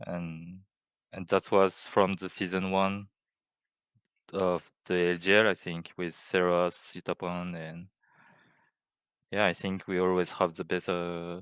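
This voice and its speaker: A man with a non-native accent and a very deep, low pitch, flat monotone intonation, a fairly slow pace and long, frequent pauses, on a very clean recording with a silent background. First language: not English. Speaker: esports coach. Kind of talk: interview. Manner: halting.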